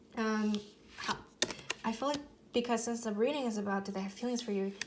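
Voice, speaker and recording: Against noticeable background noise and audible room echo, a woman speaks with fairly even intonation. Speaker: tarot reader. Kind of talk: tarot reading. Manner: hesitant, many fillers; slurring at times.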